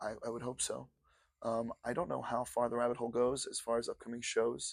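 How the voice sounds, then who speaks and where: A man with an ordinary speaking voice talks at a moderate pace in a medium pitch with fairly even intonation. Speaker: rock band frontman and songwriter. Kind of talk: interview. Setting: backstage at a venue.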